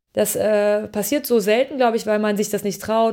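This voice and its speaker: Here a woman speaks at medium pitch with a dark, mellow tone. She keeps a moderate pace. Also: very clean recording, silent background. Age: 30s. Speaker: media producer and company founder. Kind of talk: interview.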